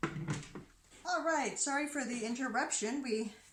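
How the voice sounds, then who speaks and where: A woman talks at a very slow pace, her pitch swinging very widely. There is audible room echo. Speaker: soap maker and channel host. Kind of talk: tutorial. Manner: animated.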